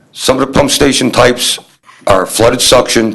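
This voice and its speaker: A man with an ordinary speaking voice talks at a medium pitch and keeps a moderate pace. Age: 60s. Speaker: municipal sewer department supervisor. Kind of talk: presentation at town board meeting. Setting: town board meeting room.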